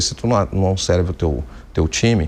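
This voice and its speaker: A man talks with ordinary pitch variation. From Rio Grande do Sul, southern Brazil. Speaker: company executive, engineer. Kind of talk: TV business interview. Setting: TV studio.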